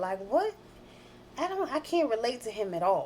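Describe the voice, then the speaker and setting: Loud and at a moderate pace, a woman with an American accent speaks with very wide pitch swings. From New Jersey. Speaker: life coach and commentary vlogger. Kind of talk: commentary monologue. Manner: direct and blunt.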